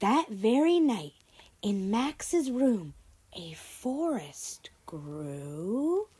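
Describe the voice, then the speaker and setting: Very slow and warm in tone, a woman speaks at a fairly high pitch. Her voice swings very widely in pitch. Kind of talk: children's read-aloud storytelling. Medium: read story. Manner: warm, expressive, encouraging.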